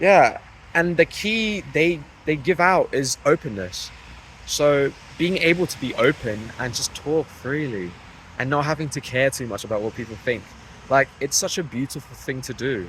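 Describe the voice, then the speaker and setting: A man with a fairly high voice speaks at a moderate pace. His intonation is lively. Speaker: vlogger, psychology student. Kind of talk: casual vlog monologue. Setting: outdoors near a college campus. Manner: loud, speaking up over traffic; hesitant, many fillers.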